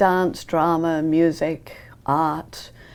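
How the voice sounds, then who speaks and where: In a British accent, a woman speaks with a fairly low pitch on a very clean recording with a silent background. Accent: British, persistent. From England, London. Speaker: ballet teacher. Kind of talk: TV interview.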